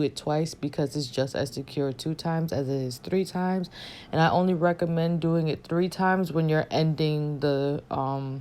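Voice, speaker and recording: In a normal speaking voice, a woman talks at a moderate pace with a fairly low pitch and ordinary pitch variation on a very clean recording with a silent background. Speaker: beauty vlogger. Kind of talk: tutorial voiceover. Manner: casual, conversational.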